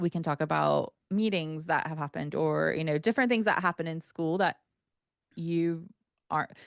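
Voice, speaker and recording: Against a quiet background, a woman with an American accent speaks in an animated tone at a very deep, low pitch with ordinary pitch variation. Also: dry, close sound with no echo. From United States. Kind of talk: interview conversation. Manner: animated, many fillers.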